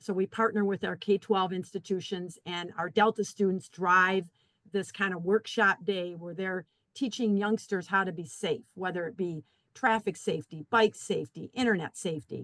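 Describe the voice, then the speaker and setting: A woman's medium-pitched voice with fairly even intonation, in a dry, close sound with no echo. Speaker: community college staff member. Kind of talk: webinar panel discussion. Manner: fast.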